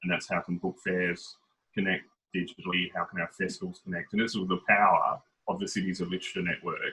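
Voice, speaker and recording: A man with an Australian accent at a very fast pace. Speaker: head of a city literature office. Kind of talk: video call panel discussion. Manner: fast when excited.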